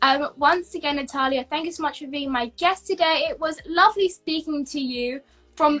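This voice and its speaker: A woman with a British accent projects a raised, high-pitched voice at a moderate pace, with ordinary pitch variation. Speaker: YouTube interviewer. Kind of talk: online interview.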